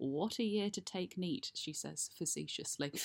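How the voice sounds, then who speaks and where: A plain, everyday voice talks at a fairly slow pace, with a dry, close sound and no echo. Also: woman. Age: 30s. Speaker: podcast host. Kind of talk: personal monologue.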